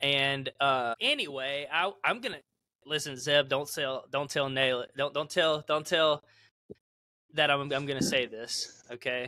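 Loud and fairly slow, a man speaks with a bright, sharp tone at a fairly high pitch. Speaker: band member, podcast host. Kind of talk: casual chat.

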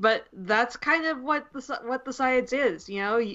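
A woman's bright, sharp tone at a moderate pace. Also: fairly high pitch for a woman, ordinary pitch variation.

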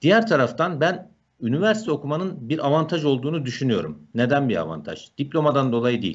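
An unremarkable speaking voice at a fairly quick pace, over a quiet background. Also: man, fairly high pitch for a man. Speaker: software instructor. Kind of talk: live Q&A answers. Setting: video call. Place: home room. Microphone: earbuds.

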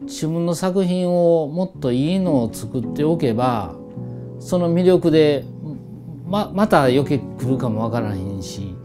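Over music in the background, a man talks at a fairly slow pace in a fairly high pitch, his voice making very wide pitch swings. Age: 60s. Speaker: master blacksmith. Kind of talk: interview answer.

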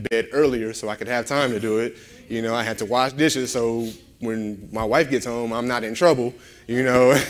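A man speaking at a moderate pace. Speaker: guest preacher. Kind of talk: sermon.

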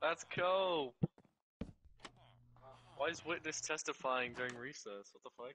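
Putting on a shrill character voice, a man talks at a fairly slow pace and fairly high pitch, leaving long, frequent pauses. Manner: outraged, exaggerated.

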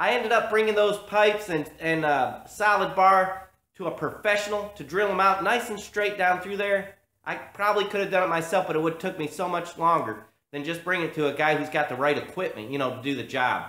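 A man's raised, projected voice at a fairly quick pace, with ordinary pitch variation and audible room echo. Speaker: hobby tractor restorer. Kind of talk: tutorial. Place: garage. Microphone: phone near.

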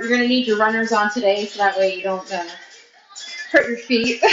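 A woman is speaking with audible room echo. Light background noise is present. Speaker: fitness instructor. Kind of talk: workout instruction. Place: gym. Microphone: camera far.

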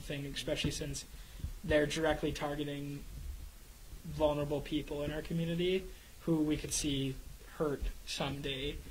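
Over light background noise, a man talks at a moderate pace with monotone, flat intonation. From Canada. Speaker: radio show co-host. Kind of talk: casual chat. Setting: studio. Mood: concerned, earnest. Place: studio. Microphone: studio mic.

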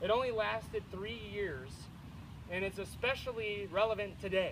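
A man with an American accent, high-pitched, at a moderate pace over noticeable background noise. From United States. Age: 20s. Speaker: speaker at a veterans memorial event; speaker. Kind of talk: public speech to a crowd. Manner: animated. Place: open country. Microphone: camera far.

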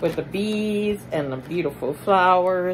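A woman speaks at a very slow pace with ordinary pitch variation over noticeable background noise. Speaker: haul vlogger. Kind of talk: casual vlog chat. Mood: cheerful, enthusiastic. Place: home room. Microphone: phone near.

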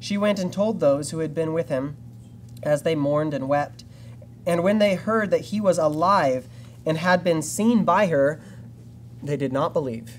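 A man talks at a moderate pace, with ordinary pitch variation and long, frequent pauses. Light background noise sits behind him. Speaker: preacher reading scripture. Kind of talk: scripture reading. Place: church.

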